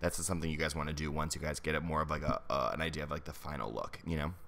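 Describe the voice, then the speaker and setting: A man with a very deep, low pitch speaks with vocal fry. His tone is bright and sharp. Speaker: makeup artist. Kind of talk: tutorial. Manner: fast; casual.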